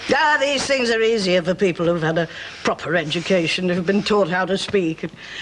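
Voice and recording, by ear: The speaker reads aloud in a natural voice, and the pitch moves in an ordinary way.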